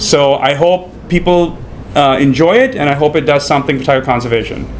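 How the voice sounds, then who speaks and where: Over noticeable background noise, a man talks at a fairly quick pace with fairly even intonation and very even loudness. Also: fairly high pitch for a man. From India, Mumbai. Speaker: documentary filmmaker. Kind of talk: panel discussion at film screening. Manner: halting, many fillers and repeats.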